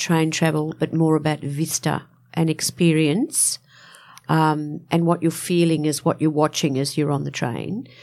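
With an Australian accent, a woman speaks at a fairly slow pace in a very deep, low pitch. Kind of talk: casual interview chat. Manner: animated, excitable.

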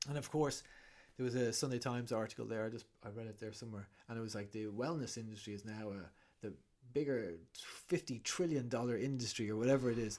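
A man with an Irish accent talks at a very fast pace, his medium pitch showing ordinary variation. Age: 40s. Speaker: breathwork facilitator and author. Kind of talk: casual interview chat.

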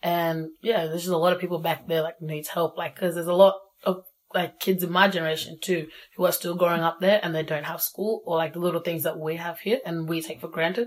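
A woman with an Australian accent, fairly low-pitched, flat and monotone, at a very fast pace. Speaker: young South Sudanese Australian. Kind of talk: casual interview. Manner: casual, relaxed.

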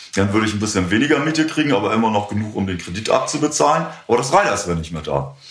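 Very fast and with very wide pitch swings, a man talks in a fairly low voice. Noticeable background noise and audible room echo fill the recording. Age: 60s. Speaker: music club owner. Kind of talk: interview. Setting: in a bar.

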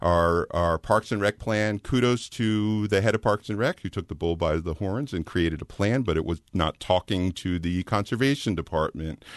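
This man speaks at a moderate pace with a fairly low pitch, ordinary pitch variation and hardly any pauses. The sound is dry and close with no echo, over a quiet background. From Philadelphia suburbs, US. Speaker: local political candidate. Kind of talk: political interview. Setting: studio. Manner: hesitant, many fillers.

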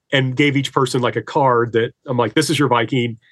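Delivered at a fairly quick pace with fairly even intonation, this is an ordinary speaking voice with an American accent. The background is quiet. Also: man. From Indiana, US Midwest. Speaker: history professor. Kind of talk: casual interview chat.

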